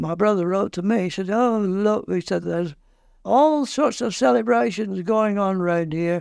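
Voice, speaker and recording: A man with a Lancashire accent, high-pitched and with lively intonation. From northern England, Lancashire (Oswaldtwistle near Blackburn). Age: 80s+. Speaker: war veteran. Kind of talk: interview, oral history. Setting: interview. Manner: halting.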